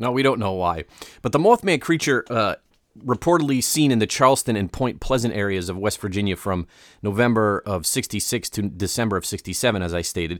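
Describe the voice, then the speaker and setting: A plain, everyday voice with lively intonation moves at a fairly quick pace, recorded dry and close with no echo on a very clean track with a silent background. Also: man, fairly low pitch for a man. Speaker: podcast co-host. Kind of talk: casual chat. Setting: studio.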